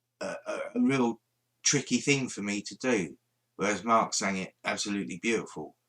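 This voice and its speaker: A man mumbles with a bright, sharp tone in a London accent. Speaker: paranormal livestreamer. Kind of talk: casual livestream chat. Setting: live stream. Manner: mumbling.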